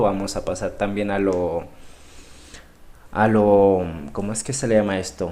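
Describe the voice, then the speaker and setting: A man speaks in a monotone, flat intonation with a fairly low pitch. His pace is fairly slow, and audible room echo surrounds him. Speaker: trading instructor. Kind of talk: live online class. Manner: halting, many repetitions.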